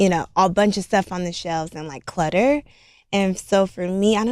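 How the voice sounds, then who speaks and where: A woman with an American accent talks at a fairly quick pace in a plain, everyday voice. The recording is very clean with a silent background. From Los Angeles, US. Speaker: beauty store owner. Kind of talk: casual chat.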